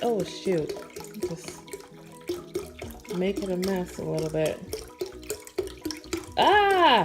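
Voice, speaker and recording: Music in the background behind a woman's very slow speech. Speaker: vlogger, mother. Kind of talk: cooking tutorial.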